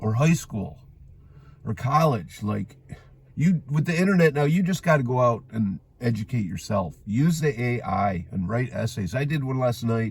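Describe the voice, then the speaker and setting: At a moderate pace, a man with an American accent speaks at a medium pitch, somewhat breathy and with very wide pitch swings. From western New York (Orchard Park, near Buffalo). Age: 50s. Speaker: vlogger. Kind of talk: casual monologue. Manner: animated; rambling with filler words.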